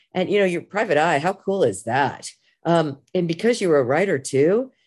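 A woman with an American accent and an ordinary speaking voice talks at a fairly quick pace, fairly low in pitch, with lively intonation against a quiet background. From US Midwest. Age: 50s. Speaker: college professor and department chair. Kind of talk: casual interview chat.

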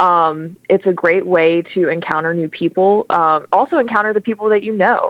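A woman with an ordinary speaking voice talks at a medium pitch with ordinary pitch variation. Her pace is moderate, with hardly any pauses. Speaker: diocesan communications manager. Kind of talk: radio interview. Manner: cheerful, bubbly, laughs often.

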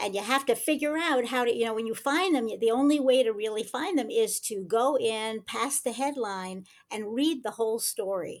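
On a very clean recording with a silent background, a woman talks in a normal speaking voice at a moderate pace, with ordinary pitch variation and hardly any pauses. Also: fairly high pitch for a woman. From United States. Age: 60s. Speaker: self-defense instructor. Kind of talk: casual chat.

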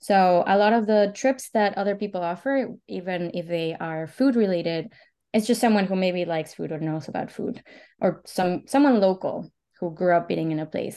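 A woman speaks with a Spanish accent at a moderate pace and medium pitch, with ordinary pitch variation. Her tone is dark and mellow, and the background is quiet. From Mexico (Oaxaca). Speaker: anthropologist and culinary tour operator. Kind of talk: interview conversation.

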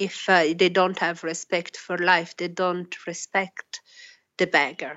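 The woman's voice is fairly low and flat, in a monotone. She speaks at a very slow pace. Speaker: PhD student in anthropology. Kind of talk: interview. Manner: halting.

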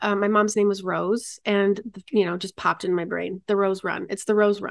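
In an ordinary speaking voice at a medium pitch and moderate pace, a woman with an American accent is heard against a quiet background, the sound dry and close with no echo. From Michigan, US Midwest. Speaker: charity founder and freelance producer. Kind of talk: interview conversation.

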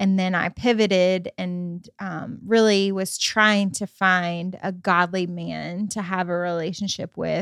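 In a very clean recording with a silent background, a woman with an American accent speaks at medium pitch in a monotone, flat intonation with hardly any pauses. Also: fairly slow pace. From US Midwest, Michigan. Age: 30s. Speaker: host's wife, co-founder of arts ministry. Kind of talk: casual chat. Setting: at home on the couch.

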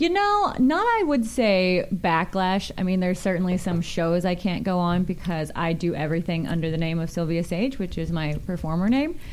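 A woman at a medium pitch talks with hardly any pauses over noticeable background noise. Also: ordinary pitch variation, moderate pace. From Kansas City, US Midwest. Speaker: adult film performer and stand-up comedian. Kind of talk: casual interview chat. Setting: studio, radio show.

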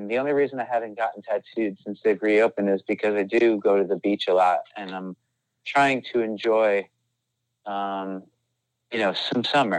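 Speaking at a moderate pace, a man has an unremarkable speaking voice with fairly low pitch and fairly even intonation, recorded dry and close with no echo. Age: 40s. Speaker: rock band singer. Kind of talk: casual chat.

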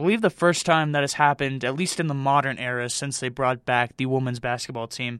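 On a very clean recording with a silent background, a man with a medium pitch speaks in an enthusiastic tone at a fairly quick pace, with ordinary pitch variation and hardly any pauses. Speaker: college radio sports host. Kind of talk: college radio sports show patter: chatty, improvised game recaps and station IDs. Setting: studio.

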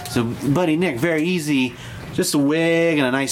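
Over noticeable background noise, a man with an American accent speaks in a fairly high pitch with ordinary pitch variation. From Grand Junction, Colorado. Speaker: podcast guest. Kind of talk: casual chat.

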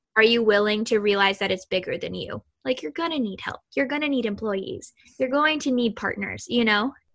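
A woman with an American accent speaks at a fairly high pitch. She moves at a fairly quick pace with very wide pitch swings. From Kentucky, US South. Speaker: podcast host. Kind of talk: interview. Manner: animated; excitable.

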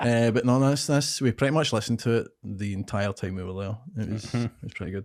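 Talking at a very fast pace with hardly any pauses, a man with a Scottish accent keeps a medium pitch. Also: ordinary pitch variation. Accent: Scottish (Ayrshire). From Scotland, Ayrshire. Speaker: comedian. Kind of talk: casual chat.

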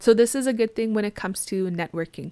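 Recorded very cleanly against a silent background, a woman with a plain, everyday voice speaks at a moderate pace. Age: 20s. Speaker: podcast host and Twitch streamer. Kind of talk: casual solo podcast monologue. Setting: home office with microphone.

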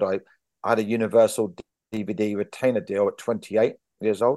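A man speaks at a fairly quick pace in a medium pitch, with a quiet background. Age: 50s. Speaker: stand-up comedian and writer. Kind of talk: casual interview chat.

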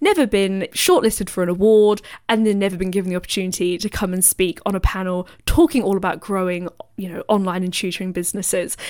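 A woman speaks with a British accent at a medium pitch. She goes at a very fast pace with fairly even intonation. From Britain. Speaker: business coach podcast host. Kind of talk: solo podcast monologue.

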